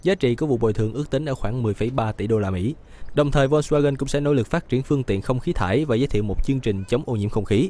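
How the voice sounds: A man's medium-pitched voice, dark and mellow in tone, at a fast pace. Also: ordinary pitch variation.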